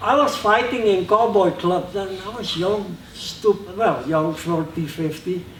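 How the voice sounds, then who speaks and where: A man with a high voice speaks at a fairly slow pace and with ordinary pitch variation, with noticeable background noise behind him. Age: 70s. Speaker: martial arts master. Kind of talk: seminar talk; martial arts demonstration. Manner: casual, halting.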